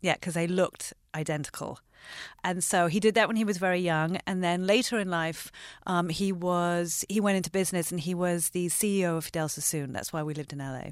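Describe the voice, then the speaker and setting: On a very clean recording with a silent background, a woman with an American accent and a normal speaking voice talks at a fairly quick pace, her fairly low pitch held in fairly even intonation. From London and Los Angeles. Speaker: entrepreneur and shoe designer. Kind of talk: interview conversation.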